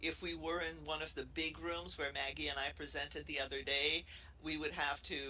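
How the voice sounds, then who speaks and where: Music plays in the background. A woman speaks with a Brazilian accent. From Brazil, Rio de Janeiro. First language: Portuguese. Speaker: professor. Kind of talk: casual chat.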